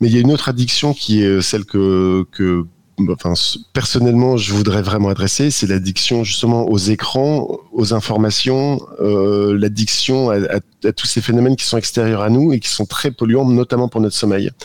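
A man with an ordinary speaking voice talks at a moderate pace and fairly low pitch, with ordinary pitch variation and very even loudness. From northern France. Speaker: app co-founder. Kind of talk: radio interview.

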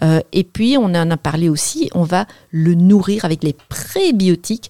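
A woman speaks at a fairly low pitch with a dark, mellow tone and ordinary pitch variation. The sound is dry and close, with no echo. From northern France. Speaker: dietitian and author. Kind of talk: radio interview. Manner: precise, few gestures.

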